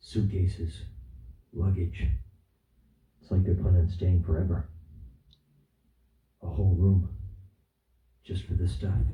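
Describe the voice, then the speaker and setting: A man's dark, mellow tone with vocal fry, ordinary pitch variation, and long, frequent pauses. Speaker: vlogger. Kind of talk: comedic vlog skit. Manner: animated; whispering.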